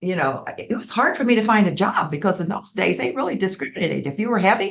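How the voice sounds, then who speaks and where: Very fast and animated, a woman talks at a medium pitch with a somewhat breathy quality. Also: lively intonation. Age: 80s+. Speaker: community arts program founder. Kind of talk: interview.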